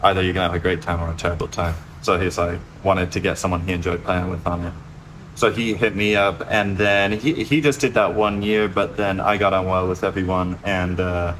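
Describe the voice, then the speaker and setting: Speaking with an American accent, a man with a very deep, low pitch talks at a fairly quick pace with fairly even intonation, over noticeable background noise. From US, Memphis area. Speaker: bass player, studio owner. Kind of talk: casual interview.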